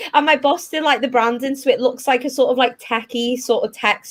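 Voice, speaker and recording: Talking at a fairly quick pace, a woman with a high-pitched voice shows ordinary pitch variation. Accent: Liverpool. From northern England, Liverpool. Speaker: tech recruiter. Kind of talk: presentation.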